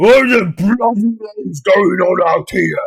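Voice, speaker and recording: A man does a put-on character voice at a high pitch and a fairly slow pace. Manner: angry, gruff.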